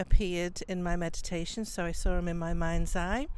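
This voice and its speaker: This woman has a Liverpool accent. Her voice sits at a medium pitch. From Liverpool, England. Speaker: psychic medium. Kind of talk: interview.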